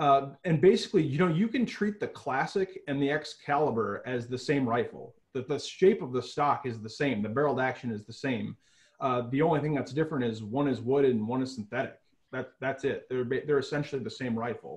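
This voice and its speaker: A man speaks at a fairly quick pace. His voice is somewhat breathy over a quiet background. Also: ordinary pitch variation. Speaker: remote factory product expert. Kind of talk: interview answer. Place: home room. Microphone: video call.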